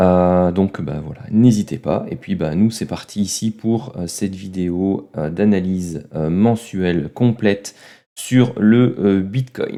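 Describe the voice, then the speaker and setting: Speaking at a very slow pace, a man with a dark, mellow tone and fairly low pitch shows ordinary pitch variation on a very clean recording with a silent background. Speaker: trading analyst youtuber. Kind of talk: tutorial. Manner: halting, many filler sounds.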